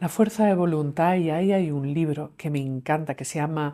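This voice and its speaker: A woman speaks very deep and low, with a dark, mellow tone and fairly even intonation. The recording is very clean with a silent background. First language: English (speaking Spanish). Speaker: clinical psychologist and author. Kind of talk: interview conversation.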